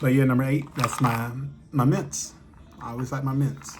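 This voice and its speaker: Amid audible room echo and noticeable background noise, a man speaks at a fairly slow pace in a medium pitch. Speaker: vlogger. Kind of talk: casual chat. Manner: halting, many fillers.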